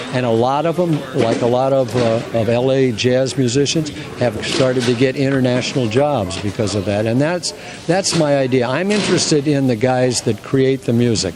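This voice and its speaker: Against noticeable background noise, a man with an American accent speaks with ordinary pitch variation. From California, San Diego. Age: 80s+. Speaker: music festival director. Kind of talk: interview. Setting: hotel. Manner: halting.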